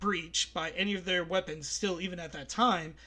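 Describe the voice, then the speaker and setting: Here a man talks at a fairly quick pace. His voice is high-pitched, with a bright, sharp tone. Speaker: podcast host. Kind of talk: casual podcast monologue. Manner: hesitant, many fillers.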